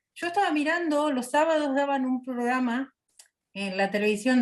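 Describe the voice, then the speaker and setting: A woman speaks in an Argentine accent at a high pitch. Her intonation is lively. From Argentina. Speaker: missionary. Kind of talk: personal testimony in interview.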